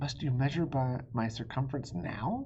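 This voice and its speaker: A hissing, put-on character voice sits at a low-to-middle pitch. The pace is moderate. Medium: read story.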